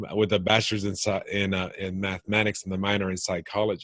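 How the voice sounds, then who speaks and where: In an American accent, a man speaks with a fairly low pitch and monotone, flat intonation against a quiet background. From US South, northwest Florida near Pensacola. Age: 50s. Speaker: entrepreneur coach and podcast host. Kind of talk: interview. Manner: relaxed; halting, many restarts.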